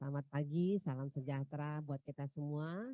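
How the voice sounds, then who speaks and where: A woman with a very deep, low pitch and a dark, mellow tone speaks at a fairly slow pace with ordinary pitch variation, recorded dry and close with no echo against a silent background on a very clean recording. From North Sumatra, Pematangsiantar. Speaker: tax office head. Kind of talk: opening speech. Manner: hesitant, many fillers.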